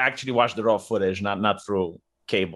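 A man with a Romanian accent on a very clean recording with a silent background. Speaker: YouTuber. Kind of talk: casual chat.

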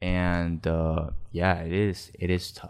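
A man with a very deep, low pitch, on a very clean recording with a silent background. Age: 20s. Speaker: podcast guest sharing personal story. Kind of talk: casual interview about love and heartbreak. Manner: casual, hesitant with many fillers.

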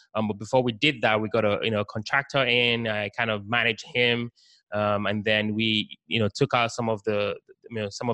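At a fairly quick pace, a man talks in a bright, sharp tone at a medium pitch with fairly even intonation. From Nigeria, later lived in the UK. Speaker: real estate investor. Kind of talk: casual interview.

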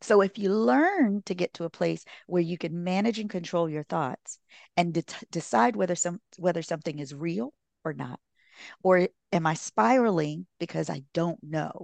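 A woman speaks in a normal speaking voice, fairly low in pitch, with lively intonation at a moderate pace, recorded dry and close with no echo against a quiet background. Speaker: relationship therapist and author. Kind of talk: casual interview.

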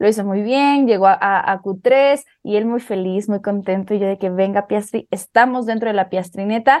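With an animated tone, a woman talks at a moderate pace and a medium pitch. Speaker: motorsport podcast co-host. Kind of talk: casual chat.

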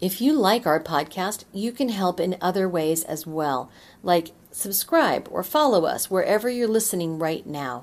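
Speaking at a moderate pace, a woman has a medium pitch and lively intonation. Hers is an unremarkable speaking voice. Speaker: podcast host. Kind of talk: podcast interview.

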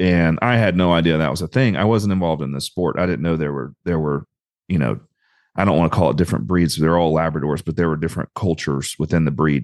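A man with a Southern US accent talks at a very fast pace in a very deep, low pitch with ordinary pitch variation over a quiet background. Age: 30s. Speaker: retriever breeder and trainer. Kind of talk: casual chat.

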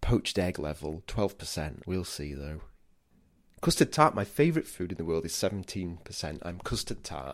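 An English accent at a moderate pace, with big swings in loudness, ordinary pitch variation, and a very clean recording over a silent background. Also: man. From England. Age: 40s. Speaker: podcast host, food historian. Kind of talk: casual podcast narration.

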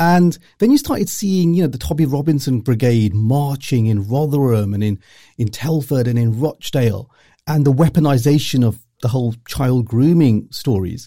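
A man with a dark, mellow tone speaks at a medium pitch and a moderate pace, somewhat breathy, with lively intonation. The recording is very clean, with a silent background. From Luton, England. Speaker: journalist and author. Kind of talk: interview.

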